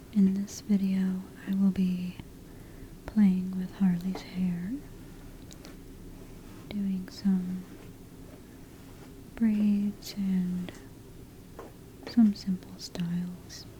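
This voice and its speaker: Soft-spoken and relaxed, a woman talks at a very slow pace with long, frequent pauses and monotone, flat intonation over noticeable background noise. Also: medium pitch for a woman. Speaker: ASMR hair play creator. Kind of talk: soft-spoken ASMR talk to camera. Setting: home environment. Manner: soft-spoken, relaxed, friendly.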